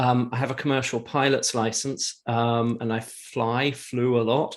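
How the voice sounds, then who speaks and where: Speaking at a moderate pace, a man keeps to a medium pitch. The intonation is fairly even. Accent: English. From England. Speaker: entrepreneur, marketing agency owner. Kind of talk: casual interview chat.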